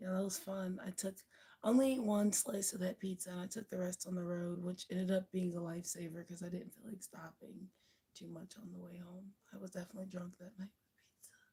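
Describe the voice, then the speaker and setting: Somewhat breathy and dark, mellow in tone, a woman speaks at a medium pitch and a fairly quick pace, with fairly even intonation and big swings in loudness. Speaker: livestreamer. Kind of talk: casual chat. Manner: casual, chatty.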